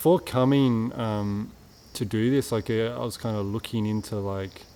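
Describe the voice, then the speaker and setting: With an Australian accent, a man talks at a moderate pace, his pitch medium and his pitch variation ordinary. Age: 20s. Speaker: retreat participant. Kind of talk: testimony. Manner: halting, many fillers and repetitions.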